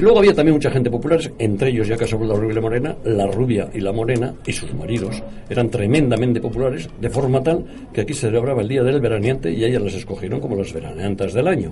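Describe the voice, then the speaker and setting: With noticeable background noise and audible room echo, a man talks at a very fast pace with lively intonation and hardly any pauses. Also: medium pitch for a man. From Spain, Bilbao. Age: 80s+. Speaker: retired computer engineer. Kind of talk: radio talk show.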